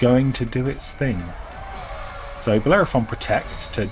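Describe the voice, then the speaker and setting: A man talks at an even, middling tempo as music plays underneath. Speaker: gaming YouTuber. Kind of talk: gameplay commentary. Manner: animated.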